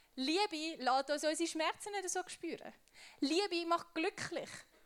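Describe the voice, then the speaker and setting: Speaking at a fairly slow pace, a woman uses an extremely high pitch. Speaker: youth preacher. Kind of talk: sermon. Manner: casual.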